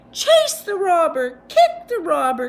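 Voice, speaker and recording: A woman's squeaky put-on character voice, extremely high-pitched, at a fairly slow pace. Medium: read story.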